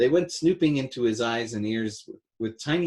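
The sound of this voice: Lively intonation in an unforced reading voice, quiet background behind it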